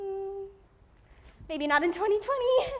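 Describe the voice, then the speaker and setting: In a put-on character voice, the speaker squeaks out lines at an extremely high pitch, with a playful, amused tone and a moderate pace. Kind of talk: theatrical stage monologue. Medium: stage play. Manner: playful, chatty, self-amused.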